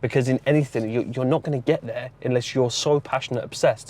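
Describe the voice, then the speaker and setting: In an English accent, a man at medium pitch rattles along at a very fast pace with monotone, flat intonation. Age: 20s. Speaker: forex trader and motivational vlogger. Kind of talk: motivational monologue vlog. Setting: in a car. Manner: casual, repetitive with false starts.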